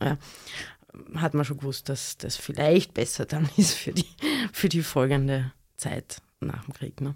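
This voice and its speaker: Fairly slowly and with long, frequent pauses, a woman speaks in a very deep, low, somewhat breathy voice with fairly even intonation. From Austria, Graz (Styria). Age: 40s. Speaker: historian and author. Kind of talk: interview. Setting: studio.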